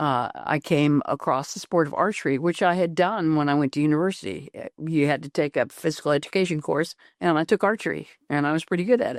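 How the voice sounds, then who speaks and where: A woman's very deep, low voice with ordinary pitch variation at a very fast pace, dry and close with no echo, over a quiet background. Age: 70s. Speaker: retired Olympic luge athlete. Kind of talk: interview. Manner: halting.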